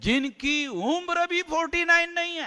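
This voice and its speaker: A man speaks in a raised, projected voice with an animated tone and lively intonation. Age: 60s. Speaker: activist organization leader. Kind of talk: political speech. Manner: animated, repetitive oratory.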